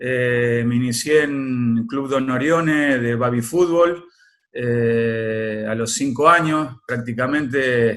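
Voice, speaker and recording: With fairly even intonation, a man talks at a very slow pace and a medium pitch. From Argentina, Córdoba province. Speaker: former footballer. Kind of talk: interview. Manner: hesitant, many fillers.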